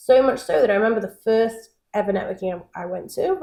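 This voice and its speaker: A Manchester accent with ordinary pitch variation. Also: woman. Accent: Mancunian; once mistaken for American. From northern England, Manchester. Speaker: networking company founder. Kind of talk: podcast interview. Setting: at her home.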